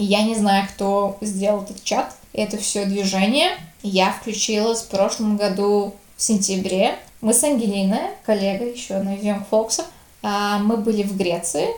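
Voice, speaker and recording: At a fairly slow pace and with fairly even intonation, the speaker talks with a slight Latvian accent amid noticeable background noise and audible room echo. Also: woman, medium pitch for a woman. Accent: slight Latvian tinge in Russian. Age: 20s. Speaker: youth organization leader. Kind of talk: casual interview. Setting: call.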